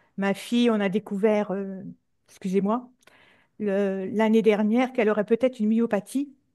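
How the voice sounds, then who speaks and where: Dark, mellow tone and flat, monotone intonation, broken by long, frequent pauses. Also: woman, fairly high pitch for a woman, moderate pace. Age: 60s. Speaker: hypnosis session client. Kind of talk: personal testimony in interview. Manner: halting, many hesitations.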